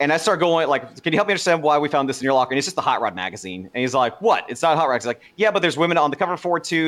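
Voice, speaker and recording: A man's voice with vocal fry, a very fast pace and lively intonation. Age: 30s. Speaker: former recruiter. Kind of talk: casual chat.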